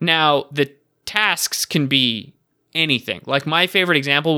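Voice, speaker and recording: The recording is very clean with a silent background and a dry, close sound with no echo, carrying a man's bright, sharp tone. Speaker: podcast co-host. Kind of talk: casual chat. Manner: joking, banter-heavy.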